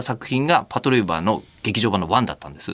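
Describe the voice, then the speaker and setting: A man speaks at a very fast pace, his voice showing vocal fry. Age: 40s. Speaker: radio announcer and host. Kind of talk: casual chat.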